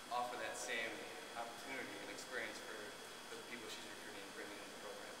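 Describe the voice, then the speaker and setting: Loud background noise and audible room echo surround a man as he speaks. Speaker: new college coach. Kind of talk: press conference answer. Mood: proud, warm, smiling. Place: hall. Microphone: podium.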